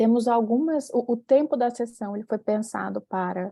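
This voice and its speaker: In a Fortaleza accent, a woman with a fairly high pitch and a dark, mellow tone talks at a fairly slow pace with ordinary pitch variation, in a dry, close sound with no echo. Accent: Northeast Brazilian (Fortaleza). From Brazil, Fortaleza (Ceará). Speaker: professor, session chair. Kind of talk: conference session moderation.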